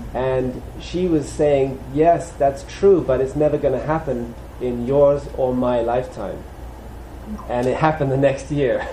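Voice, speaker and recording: With light background noise and audible room echo, a man speaks at a fairly slow pace with fairly even intonation. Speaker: preacher. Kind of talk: sermon. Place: church.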